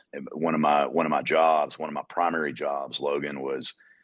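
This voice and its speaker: A man speaks in a Georgia accent. The sound is dry and close, with no echo. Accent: Georgian Southern. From US South, Georgia. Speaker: utility executive. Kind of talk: podcast interview. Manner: halting, many fillers.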